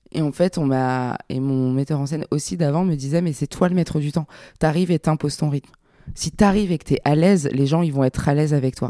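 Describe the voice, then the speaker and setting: A woman with a very deep, low pitch and a dark, mellow tone, fairly quick with ordinary pitch variation, on a very clean recording with a silent background and a dry, close sound with no echo. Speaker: comedian. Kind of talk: casual chat. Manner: fast.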